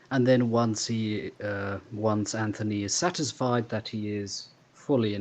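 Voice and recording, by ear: Someone is reading aloud in a natural voice. The intonation stays fairly even.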